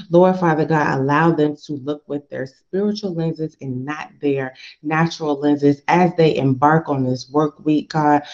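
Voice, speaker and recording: A woman with a very deep, low pitch and a warm tone speaks with hardly any pauses. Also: moderate pace. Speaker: career coach leading prayer call. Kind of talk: prayer call with devotional message and fervent prayer. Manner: fervent, animated, preacher-like; warm, encouraging, direct address.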